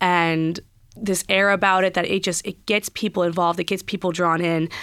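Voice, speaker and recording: A woman with an American accent speaks at a medium pitch with fairly even intonation. The recording is very clean, with a silent background. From US Midwest (Minnesota), then Virginia. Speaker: lacrosse player. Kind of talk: radio interview. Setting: studio.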